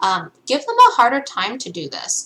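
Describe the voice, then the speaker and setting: Noticeable background noise under fairly slow talking. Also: woman. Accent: non-native. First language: not English. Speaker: gaming content creator. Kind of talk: game tutorial. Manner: casual, many filler ums.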